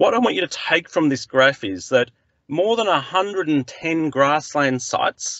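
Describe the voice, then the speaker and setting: A man at a fairly slow pace with lively intonation, dry with no echo, over a quiet background. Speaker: presenter. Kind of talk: lecture. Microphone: video call.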